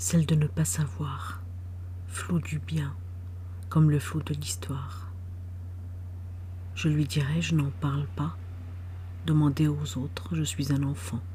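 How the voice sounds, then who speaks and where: A woman speaks very slowly in a very deep, low pitch with a dark, mellow tone, somewhat breathy, with very wide pitch swings. Long, frequent pauses break up her speech, and audible room echo surrounds it. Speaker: poet. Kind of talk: poetry reading.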